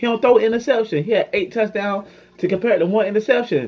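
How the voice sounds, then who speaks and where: The man has a high pitch and a fairly even intonation. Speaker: sports fan YouTuber. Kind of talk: angry post-game fan rant to camera. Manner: run-on, breathless venting that loops into repeated complaints; exasperated, mock-sobbing then laughing in frustration. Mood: frustrated, disappointed fan. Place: home room. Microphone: phone near.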